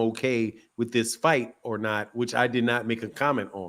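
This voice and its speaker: A man with an animated tone talks over a silent background in a very clean recording. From US West Coast, South Central Los Angeles. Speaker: boxing commentator, channel host. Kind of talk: heated debate. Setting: live stream with chat. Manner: animated, interrupting.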